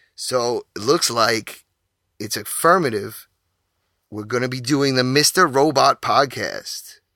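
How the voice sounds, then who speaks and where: In a very clean recording with a silent background, a man speaks at medium pitch in a bright, sharp tone with ordinary pitch variation. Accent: New York. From New York, Queens and Long Island. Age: 30s. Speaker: podcast host. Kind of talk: casual solo podcast monologue.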